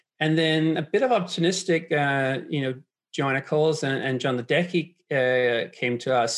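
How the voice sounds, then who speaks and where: Speaking with a Danish accent, a man keeps a moderate pace and fairly even intonation. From Denmark. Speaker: startup co-founder. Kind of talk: interview.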